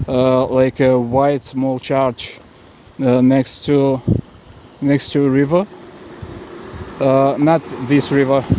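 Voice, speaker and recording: A man's fairly high, monotone voice with flat intonation at a fairly slow pace, amid noticeable background noise. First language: not English. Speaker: travel vlogger. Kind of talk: raw video diary right after an assault. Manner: halting, many fillers and repetitions.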